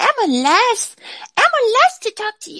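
An extremely high pitch marks this voice. It is a put-on character voice. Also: moderate pace.

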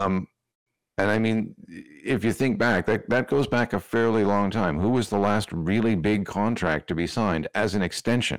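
A man talks in a plain, everyday voice at a fairly low pitch, with ordinary pitch variation, very even loudness and a moderate pace. The recording is very clean with a silent background. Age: middle-aged. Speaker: hockey podcaster. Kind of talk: casual chat.

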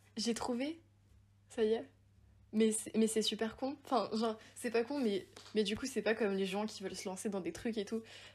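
A woman speaks at a moderate pace with long, frequent pauses. Her voice is somewhat breathy and fairly high, with ordinary pitch variation. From Haute-Savoie, France (Évian). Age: 20s. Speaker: university student and podcaster. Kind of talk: casual chat.

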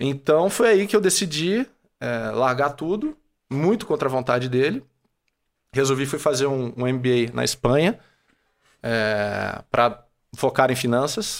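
A man of medium pitch, lively intonation, fairly slow pace, long and frequent pauses. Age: 30s. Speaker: franchise owner and entrepreneur. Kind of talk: casual interview.

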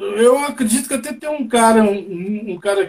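A man with a high voice speaks at a moderate pace, his pitch varying in an ordinary way. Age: 60s. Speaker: reggae musician. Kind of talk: casual interview. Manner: hesitant, repetitive fillers.

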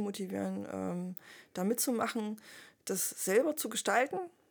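A plain, everyday voice at a moderate pace. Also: woman. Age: 30s. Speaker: veterinarian and club member. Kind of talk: casual chat.

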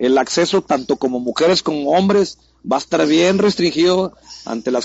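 Speaking at a fairly quick pace, a man has a plain, everyday voice with ordinary pitch variation. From Mexico City. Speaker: graffiti artist. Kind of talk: casual interview.

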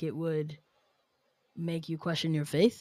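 An American woman with an ordinary speaking voice talks at a moderate pace and a fairly low pitch, with an American accent. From New York City. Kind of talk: casual chat.

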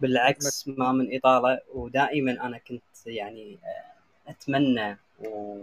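At a very slow pace, a man of medium pitch speaks with big swings in loudness, in a dry, close sound with no echo. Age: young. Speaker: live chat room host. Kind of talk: interview.

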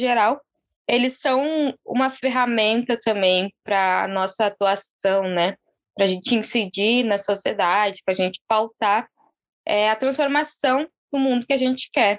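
A woman speaks with lively intonation at a fairly slow pace. The sound is dry and close, with no echo. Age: 20s. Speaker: city councillor candidate and activist. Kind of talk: interview. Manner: calm.

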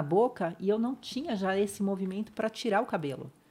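A woman's medium-pitched voice with a dark, mellow tone at a moderate pace, on a very clean recording with a silent background. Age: 50s. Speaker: spinal injury survivor sharing her story. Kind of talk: interview testimony.

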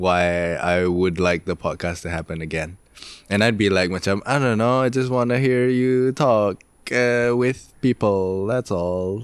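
A man's plain, everyday voice, fairly low in pitch, with ordinary pitch variation and a fairly slow pace. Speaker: guest. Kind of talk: casual chat.

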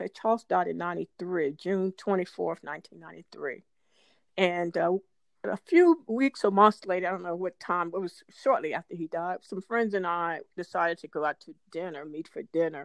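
A woman with an ordinary speaking voice, fairly low pitch and ordinary pitch variation, at a moderate pace with big swings in loudness, in a dry, close sound with no echo against a quiet background. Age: 60s. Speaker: podcast co-host. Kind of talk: casual chat.

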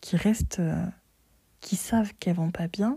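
A woman's fairly low, somewhat breathy voice, dark and mellow in tone, with fairly even intonation and a fairly slow pace. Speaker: solo podcast host. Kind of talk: casual monologue. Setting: bedroom.

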